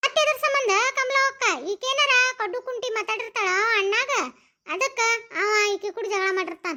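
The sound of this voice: Using a cartoonish character voice, a woman speaks at an extremely high pitch, moderately paced, with lively intonation.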